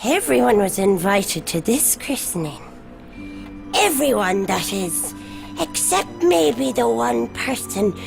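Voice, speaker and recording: Over clear music in the background, a woman uses a cartoonish character voice. She talks at a fairly slow pace and medium pitch. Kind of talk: bedtime story. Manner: sweetly menacing.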